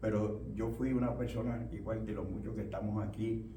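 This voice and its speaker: The voice moves at a moderate pace. There is audible room echo along with noticeable background noise. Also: man. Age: 80s+. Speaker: pastor. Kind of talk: sermon. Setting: church. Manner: halting.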